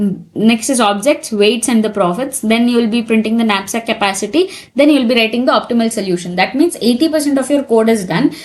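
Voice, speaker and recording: Very fast speech from a woman, fairly high in pitch, its pitch varying in an ordinary way. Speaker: programming tutor. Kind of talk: tutorial.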